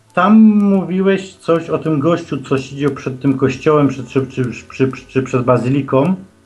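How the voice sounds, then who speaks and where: Ordinary pitch variation at a moderate pace, with noticeable background noise throughout. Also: man, fairly high pitch for a man. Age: 40s. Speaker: caller. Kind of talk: phone-in chat. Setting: phone call. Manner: halting.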